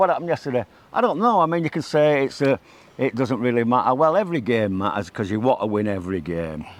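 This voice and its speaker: A man with a Mancunian accent speaks at a fairly quick pace. His pitch is medium and his intonation lively. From Manchester, England. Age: 60s. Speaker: football fan. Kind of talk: casual chat.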